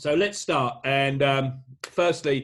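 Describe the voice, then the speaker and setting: Medium in pitch, the man's voice comes across somewhat breathy. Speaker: business speaker. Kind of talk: motivational talk. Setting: video call. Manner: hesitant, many fillers.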